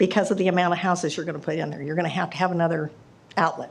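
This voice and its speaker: Talking very fast in a Midwestern US accent, a woman with a fairly low pitch and ordinary pitch variation is heard with audible room echo. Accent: US Midwest. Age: 70s. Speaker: resident speaking at public hearing. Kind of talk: public comment. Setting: council meeting at podium.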